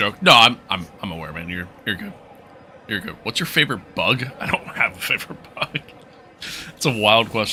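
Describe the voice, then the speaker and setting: A man's fairly low, relaxed voice at a fairly quick pace, with very wide pitch swings and big swings in loudness, over noticeable background noise. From New York. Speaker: gaming livestreamer. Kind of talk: live gameplay stream, reading chat. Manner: casual, relaxed.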